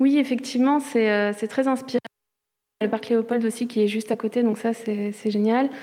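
A woman talks at a moderate pace in a fairly high pitch. Her intonation stays monotone and flat. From Charente-Maritime, France. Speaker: visual artist in residence. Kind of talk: interview.

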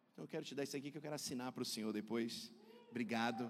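Here a man talks at a very fast pace. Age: 40s. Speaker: pastor. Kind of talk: sermon. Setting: church. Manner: animated.

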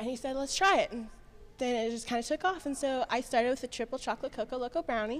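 A woman's high-pitched voice at a very fast pace, ordinary pitch variation, music in the background. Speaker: bakery business owner. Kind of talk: casual interview chat.

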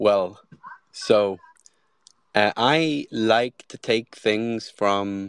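A man's fairly low voice sounds dry and close, with no echo. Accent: Swedish. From Sweden. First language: Swedish. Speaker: product designer and AI content creator. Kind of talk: casual interview. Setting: online audio space.

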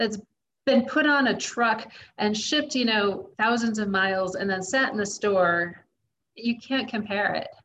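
Speaking at a fairly slow pace, a woman with an American accent has a fairly high pitch, ordinary pitch variation and a bright, sharp tone. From US, Kansas. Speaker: traveling parent. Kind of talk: interview.

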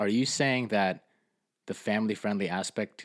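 A man with an American accent on a very clean recording, silent background behind him. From Fort Lee, New Jersey. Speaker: podcast host. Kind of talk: religious podcast discussion.

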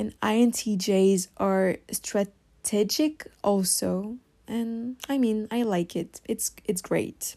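In a French accent, a woman with a dark, mellow tone speaks at a very slow pace with hardly any pauses. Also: medium pitch for a woman, ordinary pitch variation. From France. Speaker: podcast host. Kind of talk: solo podcast monologue. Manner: hesitant, many fillers.

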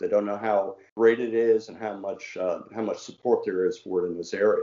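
A man with a slight Southern US accent speaks at a moderate pace. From Washington D.C., US. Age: 60s. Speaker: former mayor, cricket enthusiast. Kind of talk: casual interview. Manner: friendly, enthusiastic.

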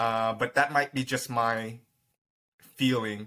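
Speaking at a moderate pace with an American accent, a man has a medium pitch and a bright, sharp tone, captured in a very clean recording with a silent background. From US. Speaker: business operations manager. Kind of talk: interview.

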